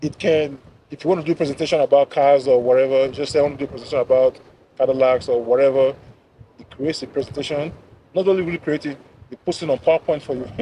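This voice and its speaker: A man talks at a very fast clip with fairly even intonation and big swings in loudness. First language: not English. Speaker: software pipeline engineer. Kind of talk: casual chat. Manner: casual, filler-heavy.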